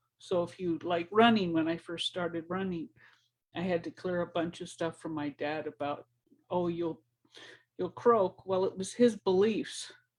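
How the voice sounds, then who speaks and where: With a normal speaking voice, a woman talks at a moderate pace, her fairly low pitch showing ordinary variation. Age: 60s. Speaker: spiritual teacher. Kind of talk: motivational talk. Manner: casual, repetitive.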